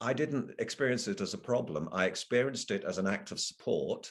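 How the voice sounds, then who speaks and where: Vocal fry runs through speech at a moderate pace with very wide pitch swings. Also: man. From Liverpool, England, then southern England as a teen. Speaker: professor. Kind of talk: keynote lecture. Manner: halting, many fillers.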